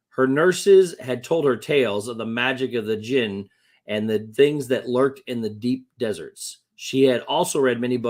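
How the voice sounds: A natural reading voice with lively intonation, set against a quiet background.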